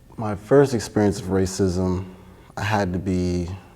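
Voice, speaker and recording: A man's very deep, low voice with a dark, mellow tone, a Miami accent, very slow pace and monotone, flat intonation. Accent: Miami American English. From Miami, Florida. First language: Spanish. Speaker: church member. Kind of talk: interview testimony. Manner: casual, hesitant with fillers.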